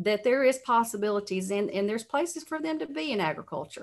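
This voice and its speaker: Woman's voice with lively intonation at a fairly quick pace over a quiet background. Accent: Alabama. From Alabama, US South. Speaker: cattle industry association president. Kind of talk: interview. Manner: halting, many fillers.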